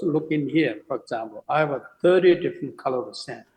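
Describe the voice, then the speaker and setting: Speaking at a fairly quick pace, a man with a Tibetan accent uses lively intonation. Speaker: Tibetan Buddhist teacher and sand mandala artist. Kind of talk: interview conversation.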